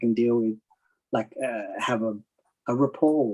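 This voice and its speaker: This man speaks with an Australian accent. His tone is dark and mellow, with fairly even intonation. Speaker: comic artist. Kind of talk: casual chat.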